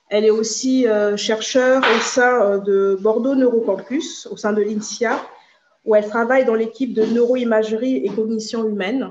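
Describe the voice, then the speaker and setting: Fairly slow, fairly even speech over noticeable background noise. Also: woman, fairly high pitch for a woman. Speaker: association board member. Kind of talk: introductory remarks. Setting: video call. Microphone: video call.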